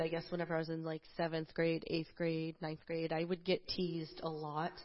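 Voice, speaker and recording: A woman speaks with an American accent. Her pitch sits fairly low. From New Jersey, US. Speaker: church member. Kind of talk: testimony. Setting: church stage.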